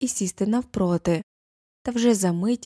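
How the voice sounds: Against a quiet background, the pitch of a natural reading voice moves in an ordinary way.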